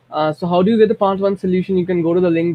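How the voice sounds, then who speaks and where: A man is speaking. He has an Indian accent. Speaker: math and statistics tutor. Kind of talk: tutorial. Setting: recorded at home at midnight. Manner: soft-spoken; halting.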